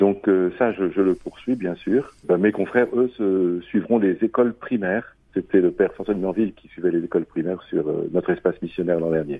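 A man's fairly low, fairly quick voice with ordinary pitch variation. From France, Loire. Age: 50s. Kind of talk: interview. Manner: halting, with repetitions.

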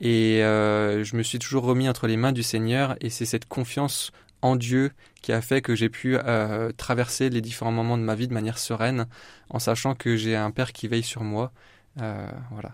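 A man at medium pitch, monotone and flat in intonation, at a moderate pace on a very clean recording with a silent background. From Champagne region, France (Épernay). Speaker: primary school teacher. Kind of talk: radio interview, faith testimony. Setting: radio studio. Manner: hesitant, many fillers.

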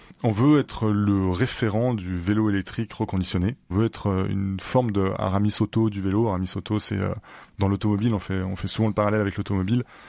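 Against a quiet background, a man talks with a dark, mellow tone, fairly low pitch and fairly even intonation. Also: fairly quick pace. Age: 30s. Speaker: entrepreneur. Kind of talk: interview.

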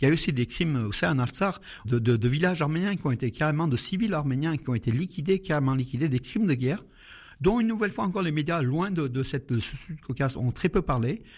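A man speaks very fast in a fairly high pitch with lively intonation. His voice is somewhat breathy. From Syria (Aleppo). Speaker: Armenian community association co-president. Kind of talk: radio interview. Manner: halting.

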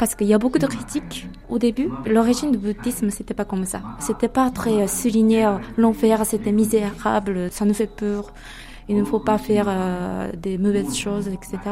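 Speaking at a moderate pace with an ordinary amount of pitch variation, a woman with a Japanese accent has a medium pitch. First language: Japanese (speaking French). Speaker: local guide. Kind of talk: casual interview. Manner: halting.

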